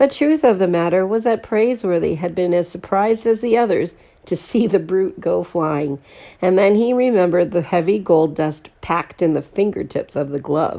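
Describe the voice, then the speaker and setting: Using a put-on character voice, a woman speaks raspily at a medium pitch and moderate pace with lively intonation. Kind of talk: read-aloud storytelling for children. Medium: read story.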